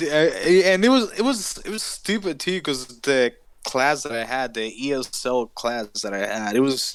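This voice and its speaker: A man speaks with a Spanish accent at a fairly high pitch. His pitch swings very widely. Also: moderate pace. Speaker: podcast co-host. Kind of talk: casual chat.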